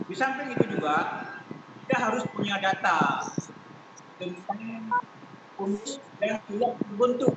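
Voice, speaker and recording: A man talks at a fairly slow pace with long, frequent pauses over loud background noise. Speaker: association chairman. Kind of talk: online meeting. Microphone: video call.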